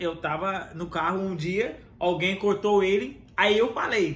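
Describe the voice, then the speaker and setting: Audible room echo carries a man's high voice as he talks at a very slow pace. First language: English (speaking Portuguese). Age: 30s. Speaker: podcast host. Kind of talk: casual chat.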